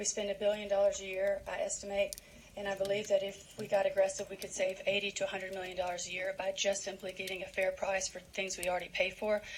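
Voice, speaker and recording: Noticeable background noise sits behind a woman talking at a very fast pace with hardly any pauses. Her medium-pitched voice keeps a monotone, flat intonation. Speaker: citizen giving public comment. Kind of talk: public testimony. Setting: legislative committee hearing. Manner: loud; halting, many ums. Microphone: too far from the mic.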